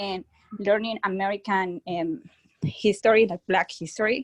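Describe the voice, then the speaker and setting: In a Spanish accent, a woman talks at a fairly slow pace. The sound is dry and close, with no echo. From Colombia. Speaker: college student. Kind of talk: audience comment. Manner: halting.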